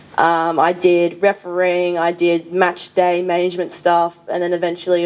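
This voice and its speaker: In an Australian accent, a woman speaks at a moderate pace and a fairly low pitch. Her intonation is monotone and flat. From rural New South Wales, Australia. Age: 20s. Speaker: sports development officer. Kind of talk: panel discussion.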